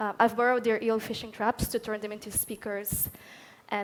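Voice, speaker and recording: A woman in a Catalan accent, fairly high-pitched and fairly quick, with monotone, flat intonation. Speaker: artist. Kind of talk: panel discussion.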